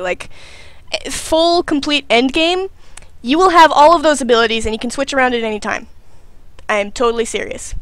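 A woman speaks with lively intonation, and the sound is dry with no echo. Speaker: game streamer. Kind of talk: casual gameplay commentary.

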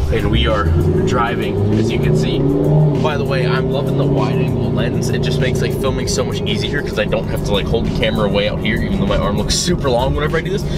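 Music plays in the background as a man speaks at a very fast pace. The sound is dry, with no echo. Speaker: car vlogger. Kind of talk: casual vlog chat. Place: car. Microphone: phone near.

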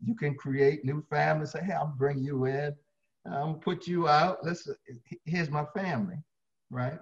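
Over a quiet background, a man with a fairly high, somewhat breathy voice speaks with long, frequent pauses. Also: ordinary pitch variation, moderate pace. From Baltimore, Maryland. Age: 60s. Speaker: fitness trainer. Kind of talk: interview. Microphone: video call.

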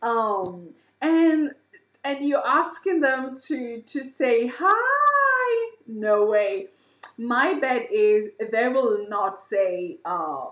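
Very slowly, a woman talks at a high pitch with very wide pitch swings. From Kenya. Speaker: YouTube reaction video creator. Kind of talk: casual reaction commentary.

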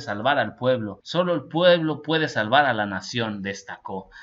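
This man talks at a fairly slow pace with lively intonation and an animated tone. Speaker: political news commentator. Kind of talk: news reading with personal commentary. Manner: informal, animated.

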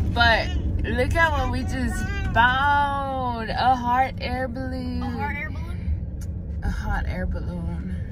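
A woman at a very slow pace, dry sound with no echo, and noticeable background noise. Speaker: vlogger filming from the passenger seat. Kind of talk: casual vlog chat. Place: car.

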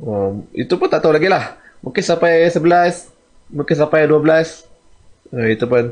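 With lively intonation and a fairly high pitch, a man speaks at a moderate pace and very even loudness, leaving long, frequent pauses against a quiet background. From Malaysia. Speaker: comic artist and YouTuber; comic artist, YouTuber. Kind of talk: casual vlog talk to viewers. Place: home room. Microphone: studio mic.

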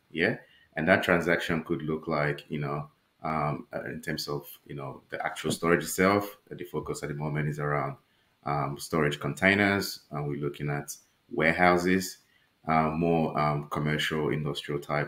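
Audible room echo surrounds a man whose very deep, low voice keeps fairly even intonation. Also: moderate pace. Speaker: guest. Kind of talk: interview answer. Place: home room.

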